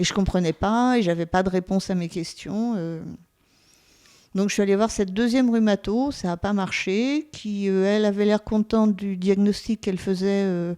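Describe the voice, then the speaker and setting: A woman with a medium-pitched voice speaks in a dark, mellow tone. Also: moderate pace, very clean recording, silent background. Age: 60s. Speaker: patient giving testimony. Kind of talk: testimony. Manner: halting, many hesitations.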